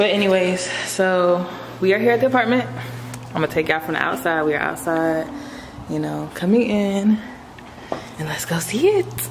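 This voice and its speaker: A woman with an American accent talks at a moderate pace with lively intonation and long, frequent pauses. Noticeable background noise is present. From Chicago. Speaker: vlogger. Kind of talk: casual vlog. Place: home room. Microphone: phone near.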